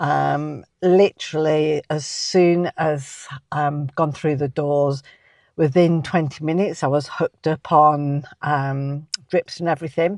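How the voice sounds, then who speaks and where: A woman speaks with a British accent at a very deep, low pitch. Her intonation is fairly even, and the sound is dry and close with no echo. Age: 60s. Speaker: vlogger. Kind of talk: personal vlog storytelling. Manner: hesitant, many filler ums.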